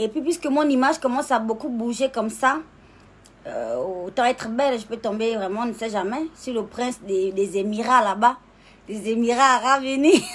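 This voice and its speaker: High pitch from a woman, ordinary in its variation, delivered at a moderate pace. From Gabon. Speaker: social media personality. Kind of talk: casual live stream monologue. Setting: live video stream. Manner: animated.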